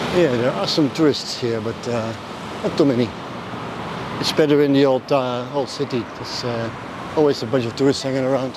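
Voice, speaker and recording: Through noticeable background noise, a man talks at a medium pitch and moderate pace with fairly even intonation and long, frequent pauses. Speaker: travel vlogger. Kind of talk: walking vlog narration. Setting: outdoors walking in city traffic. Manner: casual, halting with fillers.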